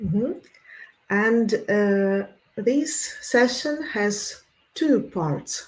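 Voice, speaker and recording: At a very slow pace with long, frequent pauses, a somewhat breathy woman speaks at a fairly high pitch with lively intonation. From Russia. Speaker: academic researcher. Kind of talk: conference presentation.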